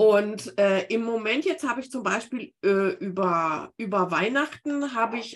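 A woman speaks at a fairly slow pace in a fairly high voice, her pitch swinging very widely. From Bavaria, Garmisch-Partenkirchen (born Remscheid). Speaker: book-writing coach. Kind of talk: interview.

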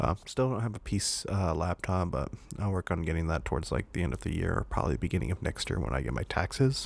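A man speaks at a very fast pace with hardly any pauses and a very deep, low pitch. His voice carries vocal fry and very wide pitch swings. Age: 20s. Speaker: podcast host. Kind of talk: casual monologue. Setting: home recording with condenser mic. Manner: hesitant with many fillers.

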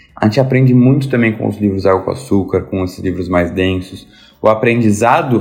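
Male speech at a fairly quick clip, its pitch varying in an ordinary way. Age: 20s. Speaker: lawyer and book influencer. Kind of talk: casual chat.

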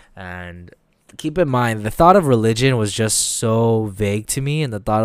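A medium-pitched man with an unremarkable speaking voice and lively intonation at a moderate pace, on a very clean recording with a silent background. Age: 20s. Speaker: podcast host. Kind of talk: personal testimony monologue. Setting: home during quarantine.

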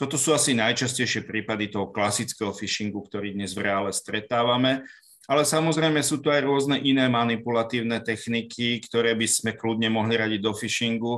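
With hardly any pauses, a man speaks in a plain, everyday voice at medium pitch with fairly even intonation. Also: fairly quick pace. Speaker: court expert on digital evidence. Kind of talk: panel discussion.

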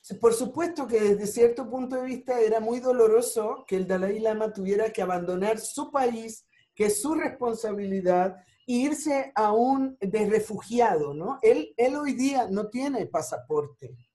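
A woman's dark, mellow voice, fairly high in pitch, fairly slow, with lively intonation. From Puerto Rico (Ponce). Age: 60s. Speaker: family constellations therapist and Sufi spiritual guide. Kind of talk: interview.

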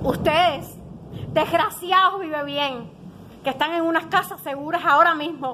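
A woman speaks in a raised, projected voice at an extremely high pitch with ordinary pitch variation. Her pace is fairly slow, and noticeable background noise can be heard. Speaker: mother making a complaint. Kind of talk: impassioned protest.

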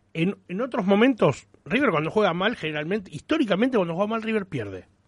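A man talks at a fairly quick pace with lively intonation. His pitch is high. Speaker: football fan radio co-host. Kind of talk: casual sports talk radio. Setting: studio.

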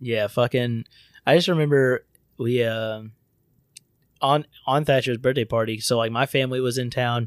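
A man of medium pitch talks at a moderate pace with fairly even intonation and long, frequent pauses. The recording is very clean, with a silent background. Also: dry, close sound with no echo. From Florida. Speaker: podcast host. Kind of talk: casual chat with profanity.

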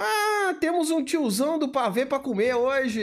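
With a Brazilian accent, a man speaks at a moderate pace, his pitch swinging very widely. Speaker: bodybuilding livestream host. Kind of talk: casual live chat reading superchats. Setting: livestream. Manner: animated.

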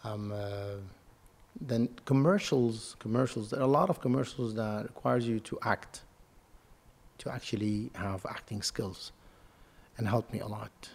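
A man with a Lebanese accent speaks at a moderate pace with ordinary pitch variation and long, frequent pauses. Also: medium pitch for a man. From Lebanon. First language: Arabic. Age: 30s. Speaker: model and actor. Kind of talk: casual interview.

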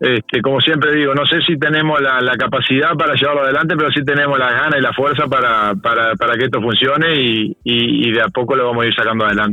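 Medium-pitched man at a fairly quick pace with ordinary pitch variation, over noticeable background noise. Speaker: board member of a local therapy centre. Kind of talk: radio interview. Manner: halting, many repeated words and fillers.

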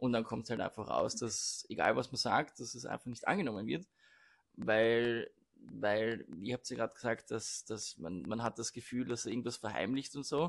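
At a medium pitch, a man speaks at a moderate pace with ordinary pitch variation. Vocal fry is present. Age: 20s. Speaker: law student. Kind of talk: casual chat. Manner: halting.

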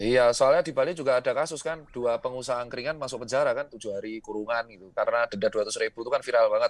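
A man talks at a very fast pace with hardly any pauses. His loudness swings widely, with a dry, close sound with no echo. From Central Java (Yogyakarta/Solo). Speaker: entrepreneur. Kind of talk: casual chat. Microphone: too quiet, switched to headset.

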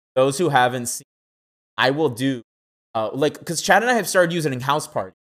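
An ordinary speaking voice from a man, fairly high and fairly quick, with lively intonation. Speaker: podcast host. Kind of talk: casual chat. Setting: live stream. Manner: joking, playful.

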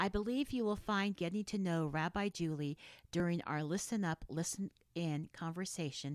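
With a plain, everyday voice, a woman speaks at a moderate pace and a fairly low pitch, her intonation lively, in a very clean, dry, close recording with no echo and a silent background. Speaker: podcast host. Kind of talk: interview conversation.

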